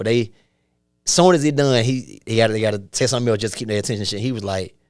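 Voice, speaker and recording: This man has a strong Atlanta accent and a medium pitch. He talks at a very fast pace with ordinary pitch variation. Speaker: stand-up comedian. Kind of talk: casual chat. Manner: animated.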